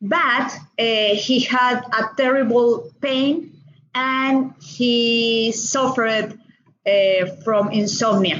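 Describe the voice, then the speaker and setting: A woman with a Colombian accent talks at a very slow pace and a fairly high pitch, with ordinary pitch variation, very even loudness and audible room echo. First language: Spanish. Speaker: doctor. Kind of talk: interview. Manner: halting, with many fillers.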